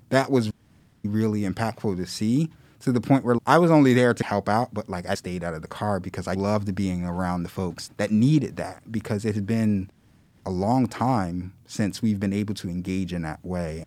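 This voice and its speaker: This man has a plain, everyday voice at a fairly low pitch. His pitch varies in an ordinary way, and he keeps a moderate pace. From Philadelphia. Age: 30s. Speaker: community organizer and activist. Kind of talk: podcast interview.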